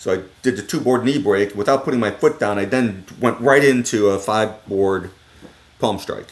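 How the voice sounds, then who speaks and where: Moderate pace and ordinary pitch variation from a man with a fairly low pitch, over noticeable background noise. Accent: American. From US Midwest, Cleveland, Ohio. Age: 60s. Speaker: martial arts practitioner. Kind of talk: casual interview chat.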